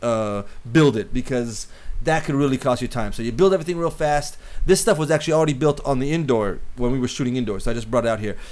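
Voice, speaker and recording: A man talks at a very fast pace. His pitch is fairly high and varies in an ordinary way. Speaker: cinematographer teaching filmmaking. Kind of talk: tutorial. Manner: halting, many repeated words.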